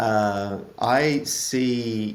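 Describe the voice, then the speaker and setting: A man's fairly low voice with an Australian accent, ordinary pitch variation, and audible room echo. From Australia (Melbourne). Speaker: author and product manager. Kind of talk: podcast interview. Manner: hesitant, many fillers.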